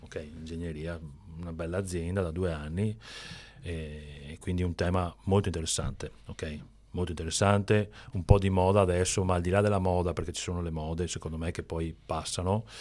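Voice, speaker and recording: A man speaks in a very deep, low pitch with monotone, flat intonation. His pace is fairly quick, and the recording is very clean with a silent background. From Veneto, northeast Italy. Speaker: entrepreneur, company founder. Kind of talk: podcast interview. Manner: halting, many restarts.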